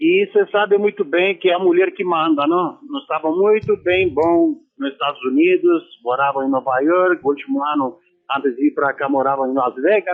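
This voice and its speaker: Someone speaks with a Romanian accent at a moderate pace, using lively intonation. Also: man, high pitch for a man. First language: Romanian (speaking Portuguese). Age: 60s. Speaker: former football player. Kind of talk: radio interview.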